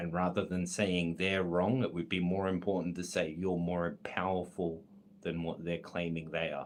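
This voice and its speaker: A man with an Australian accent, very deep and low-pitched, at a moderate pace with flat, monotone intonation. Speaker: esoteric content creator reading a text aloud. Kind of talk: reading aloud with commentary. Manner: self-correcting, slightly halting.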